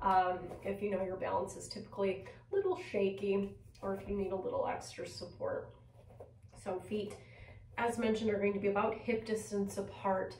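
A woman talks with long, frequent pauses. Her voice carries audible room echo over light background noise. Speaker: yoga teacher. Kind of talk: guided yoga class instruction, cueing poses and breath. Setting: video recorded at home. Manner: calm, gentle, soothing; slow, measured, with pauses between cues. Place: home room.

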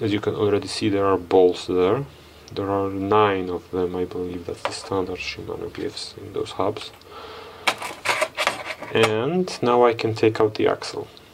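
A man speaks at a moderate pace with long, frequent pauses over loud background noise. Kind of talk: tutorial. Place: workshop.

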